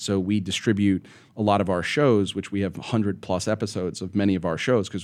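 In a normal speaking voice, the speaker talks at a fairly quick pace with fairly even intonation. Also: man, very clean recording, silent background. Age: 40s. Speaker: media company CEO. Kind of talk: interview.

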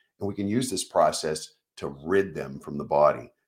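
At a fairly slow pace, a man with a fairly low pitch speaks in an animated tone. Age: 60s. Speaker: nurse and podcast host. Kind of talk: casual live stream monologue. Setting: live stream.

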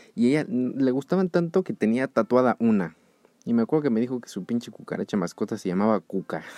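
A man with a Mexico City accent speaks at a very fast pace in a dark, mellow tone and medium pitch with very wide pitch swings. The sound is dry and close, with no echo. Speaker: podcast host. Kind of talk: casual solo podcast monologue. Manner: hesitant, many fillers.

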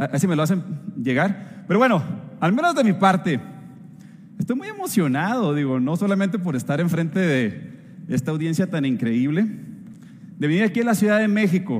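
A man speaks in a high, animated voice with lively intonation at a moderate pace. He leaves long, frequent pauses, and noticeable background noise is present. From northern Mexico. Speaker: food scientist. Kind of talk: company event talk.

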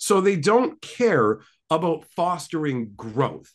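A man with vocal fry and very wide pitch swings, against a quiet background. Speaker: podcast guest. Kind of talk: casual chat. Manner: joking, banter.

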